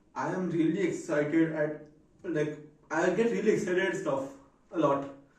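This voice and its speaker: A man's voice with lively intonation and audible room echo. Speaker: vlogger. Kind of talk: casual vlog monologue. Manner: deliberately slowed down.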